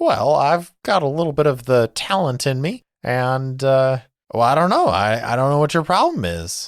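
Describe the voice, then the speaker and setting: A man uses a squeaky, put-on character voice at medium pitch. He keeps a moderate pace on a very clean recording with a silent background. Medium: actual play. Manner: hesitant, stammering, spacey.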